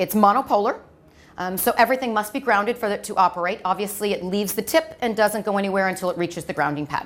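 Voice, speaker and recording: A woman in an American accent at a very fast pace, medium pitch, ordinary pitch variation, on a very clean recording with a silent background. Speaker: medical device clinical trainer. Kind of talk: lecture.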